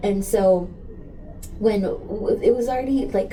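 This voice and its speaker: The speaker has an American accent and lively intonation, at a fairly slow pace. Noticeable background noise and audible room echo are present. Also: woman. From US Southwest border, El Paso, Texas. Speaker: community activist. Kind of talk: interview conversation. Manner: animated.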